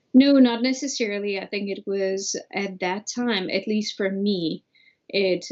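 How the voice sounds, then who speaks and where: Her pace is fairly slow, with a Bulgarian accent. The woman's pitch sits at a medium level. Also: quiet background. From Bulgaria (Sofia). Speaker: immigrant, former au pair. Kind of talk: interview.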